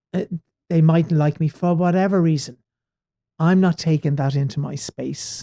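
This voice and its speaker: In a dry, close sound with no echo, a man with an Irish accent speaks at a fairly high pitch with a dark, mellow tone, fairly even intonation, a fairly slow pace and long, frequent pauses. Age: 60s. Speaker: stage actor. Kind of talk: podcast interview.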